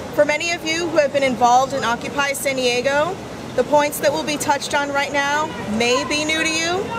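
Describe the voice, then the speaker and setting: A high-pitched woman at a fairly quick pace over noticeable background noise. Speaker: community activist. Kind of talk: prepared speech read aloud at a public assembly. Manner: formal.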